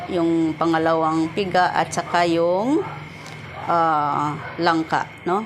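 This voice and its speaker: A woman's fairly low voice with a Visayan accent, over noticeable background noise. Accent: Visayan accent in Tagalog. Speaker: vlogger. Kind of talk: cooking tutorial. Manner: casual, with many fillers.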